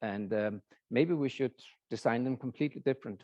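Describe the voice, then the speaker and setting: The speaker has a Danish accent and a dark, mellow tone, with ordinary pitch variation at a moderate pace. The sound is dry and close with no echo, over a quiet background. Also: man. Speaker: professor. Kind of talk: lecture. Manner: halting.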